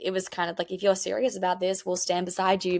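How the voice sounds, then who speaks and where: A woman talks with a strong Australian accent. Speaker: country music singer. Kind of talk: interview. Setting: podcast. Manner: fast.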